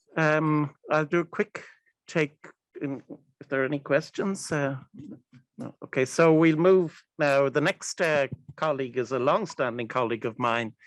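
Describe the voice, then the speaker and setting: A man with an Irish accent speaks at a fairly high pitch. He leaves long, frequent pauses. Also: ordinary pitch variation, moderate pace, dry, close sound with no echo. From Ireland. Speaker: event facilitator, wildlife policy manager. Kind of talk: moderating a panel.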